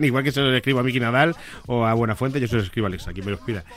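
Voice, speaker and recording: Speaking at a very fast pace with ordinary pitch variation, a man is heard over noticeable background noise. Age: 30s. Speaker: author. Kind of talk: interview. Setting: studio.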